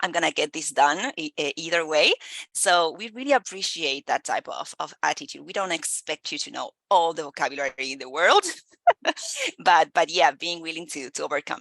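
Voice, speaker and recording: A woman's fairly low voice with a Spanish accent and a bright, sharp tone, at a moderate pace with ordinary pitch variation and big swings in loudness, in a dry, close sound with no echo. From Argentina. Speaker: recruiter. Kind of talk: casual chat. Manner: halting, many fillers.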